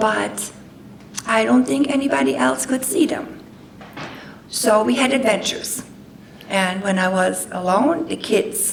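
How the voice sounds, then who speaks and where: Amid noticeable background noise and audible room echo, a woman with a German accent speaks at medium pitch and a fairly slow pace. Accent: German accent, persistent. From Germany. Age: 60s. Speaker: guest speaker. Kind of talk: personal testimony talk. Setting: talk to an audience with microphone.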